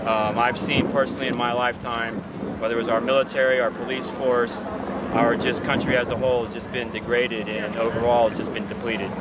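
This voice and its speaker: A man with a medium-pitched voice talks at a very fast pace amid noticeable background noise and audible room echo. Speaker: veteran and mechanic. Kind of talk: street interview. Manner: animated.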